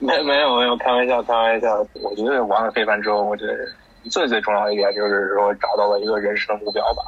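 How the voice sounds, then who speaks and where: A man talks very fast with noticeable background noise behind him. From Beijing, China. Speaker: ultimate frisbee team captain. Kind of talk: interview.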